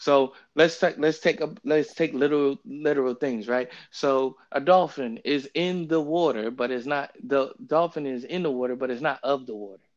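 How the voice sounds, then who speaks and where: A man with an unremarkable speaking voice talks at a moderate pace, with a fairly high pitch and ordinary pitch variation. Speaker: podcast host leading bible study. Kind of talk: bible study discussion. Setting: remote phone recording via app.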